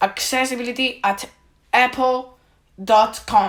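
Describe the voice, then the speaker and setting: Speaking at a very slow pace with a Spanish accent, the voice comes through on a very clean recording with a silent background. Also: woman. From Spain. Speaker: tech YouTuber. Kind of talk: video monologue complaint. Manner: halting.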